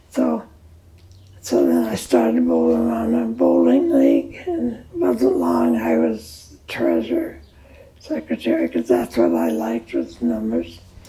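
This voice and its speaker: With an American accent, a woman talks at a fairly slow pace against noticeable background noise. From US Midwest. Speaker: elderly interviewee, former restaurant owner. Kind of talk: oral history interview.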